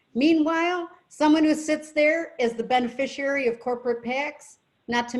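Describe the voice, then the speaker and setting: The voice belongs to a woman. She speaks with an American accent. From western New York (Rochester). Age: 60s. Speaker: political candidate. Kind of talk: Q&A talk at a club meeting. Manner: animated.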